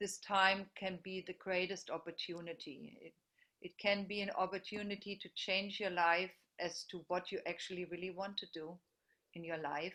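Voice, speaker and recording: In a strong German accent, a woman speaks at a moderate pace with a bright, sharp tone, monotone, flat intonation and big swings in loudness. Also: medium pitch for a woman. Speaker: teacher. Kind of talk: group video meeting discussion.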